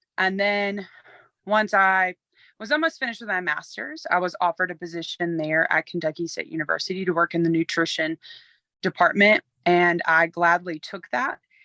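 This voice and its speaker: A woman talks at a moderate pace in a bright, sharp tone, fairly low in pitch with ordinary pitch variation. The sound is dry and close with no echo, and the background is quiet. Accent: Alabama. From US South, Alabama. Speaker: university nutrition staff member. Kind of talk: recorded tribute testimony.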